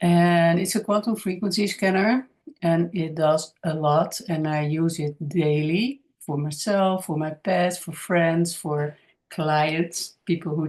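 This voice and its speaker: Fairly low in pitch, a woman talks at a fairly slow pace with fairly even intonation. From Netherlands. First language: Dutch. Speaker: spiritual healer and channel creator. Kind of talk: casual monologue to camera. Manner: halting, many fillers.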